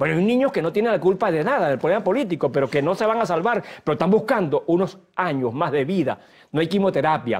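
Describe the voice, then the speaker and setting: Speaking very fast, a man uses a high voice with lively intonation and very even loudness. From Venezuela, Guárico. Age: 60s. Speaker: human rights activist and lawyer. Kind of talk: TV interview. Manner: halting, with repetitions.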